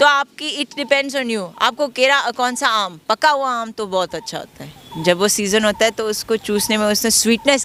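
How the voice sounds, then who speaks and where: A woman's fairly high voice with lively intonation at a moderate pace, against noticeable background noise. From Kenya. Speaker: Krishna devotee. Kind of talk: interview answer.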